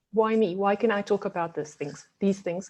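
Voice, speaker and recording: A woman in a South African accent, medium pitch, ordinary pitch variation and a fairly quick pace, over a quiet background. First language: Afrikaans. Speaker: resilience coach. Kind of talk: webinar presentation. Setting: video call.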